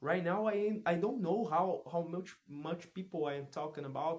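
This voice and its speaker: A man talks with lively intonation. He has a Portuguese accent. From Brazil. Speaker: vlogger practicing English. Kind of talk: casual monologue vlog. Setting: alone at his parents' home. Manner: halting, many restarts and repetitions; loud.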